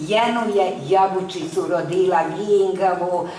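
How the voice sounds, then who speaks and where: A woman's intonation is lively, with noticeable background noise present. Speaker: stage actress. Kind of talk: poetry reading.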